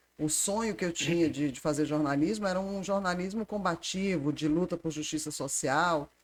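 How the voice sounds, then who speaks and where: Here a woman talks at a moderate pace with hardly any pauses. Her pitch is fairly low and varies in an ordinary way. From Ceará, Fortaleza (born in Recife). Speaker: environmental agency manager. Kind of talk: casual interview.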